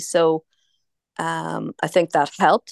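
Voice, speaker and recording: A woman speaks with a fairly low pitch in a Northern Irish accent. The sound is dry and close with no echo, over a quiet background. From Tyrone, Northern Ireland. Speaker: food company founder. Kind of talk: casual radio interview. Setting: online video call.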